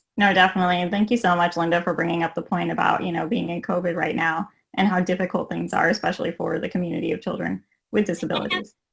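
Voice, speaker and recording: A woman speaks very fast, her fairly low voice crackling with vocal fry. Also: fairly even intonation. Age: 20s. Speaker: panel moderator. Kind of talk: panel discussion. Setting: video call.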